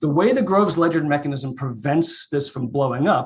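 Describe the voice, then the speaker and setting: Somewhat breathy, this man's voice sits at a fairly high pitch. His pitch variation is ordinary. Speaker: economics researcher. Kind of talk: conference talk. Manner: fast.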